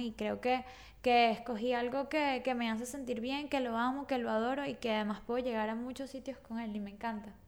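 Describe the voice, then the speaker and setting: Speaking at a moderate pace, a woman holds a monotone, flat intonation at a fairly high pitch. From Venezuela, Caracas. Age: 30s. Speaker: tarot reader. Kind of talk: interview.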